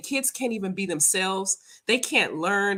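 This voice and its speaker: Recorded very cleanly with a silent background, a woman speaks at a moderate pace in a bright, sharp, animated tone. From US South. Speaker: spiritual practitioner and livestream host. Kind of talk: casual livestream chat.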